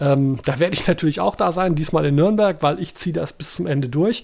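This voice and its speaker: A man with an ordinary speaking voice talks at a fairly quick pace with fairly high pitch and lively intonation, on a very clean recording with a silent background. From Germany, Baden-Baden. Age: 50s. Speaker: podcast co-host. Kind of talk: casual chat.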